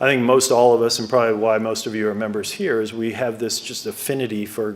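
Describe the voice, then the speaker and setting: A medium-pitched man talking at a very fast pace over noticeable background noise. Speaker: golf course architect. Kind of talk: presentation to club members. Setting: club meeting with audience. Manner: soft-spoken.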